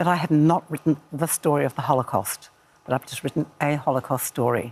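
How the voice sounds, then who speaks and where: A woman speaks with a New Zealand accent. Her pitch is very deep and low. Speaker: author. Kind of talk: casual chat.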